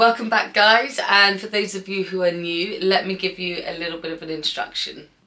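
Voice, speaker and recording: A woman talks in an animated tone at a fairly quick pace, her loudness swinging widely over noticeable background noise. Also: medium pitch for a woman. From England, Bath. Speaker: artist. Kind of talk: casual Q&A vlog. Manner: chatty, animated.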